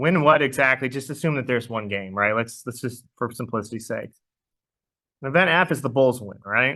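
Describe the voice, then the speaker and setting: A loud voice with a bright, sharp tone. It moves at a fairly quick pace. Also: man, medium pitch for a man, ordinary pitch variation, quiet background. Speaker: math teacher. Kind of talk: lecture.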